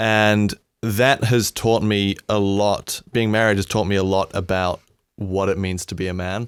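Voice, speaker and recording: A man with a New Zealand accent, fairly low in pitch, at a fairly slow pace in a monotone, flat intonation, with a dry, close sound, no echo, and a very clean recording with a silent background. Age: 20s. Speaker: sound engineer. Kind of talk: casual chat.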